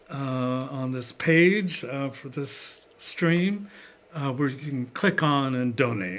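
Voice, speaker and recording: Speaking at a fairly slow pace, a man with a medium-pitched voice talks in a West Coast accent. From San Francisco Bay Area, California. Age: 60s. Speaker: poet and jazz musician. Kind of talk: poetry performance with spoken introductions. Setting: live-streamed studio concert. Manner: halting, many filler uhs.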